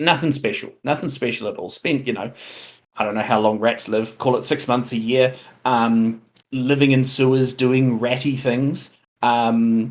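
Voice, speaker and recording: With a New Zealand accent, a man speaks at a fairly slow pace with fairly even intonation. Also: medium pitch for a man. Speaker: tabletop role-playing game player, stream guest. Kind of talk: casual chat. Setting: live stream.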